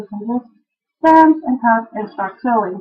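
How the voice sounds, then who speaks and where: Pitched high, a woman with a Dutch accent talks at a moderate pace with lively intonation. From Netherlands. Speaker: quilting and knitting video blogger. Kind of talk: casual video podcast, tutorial-style show-and-tell. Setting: home sewing room.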